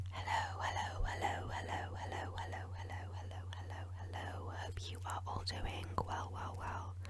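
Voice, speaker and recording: A soft-spoken woman whispering in a British accent at a moderate pace, hardly any pauses, with noticeable background noise. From England. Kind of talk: ASMR Q&A while gaming. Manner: whispered, soft-spoken.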